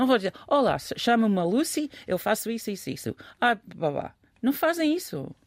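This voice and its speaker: In an English accent, a woman with a fairly high pitch speaks at a moderate pace, her pitch swinging very widely. The recording is very clean, with a silent background. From England. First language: English (speaking Portuguese). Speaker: commentator. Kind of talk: casual discussion.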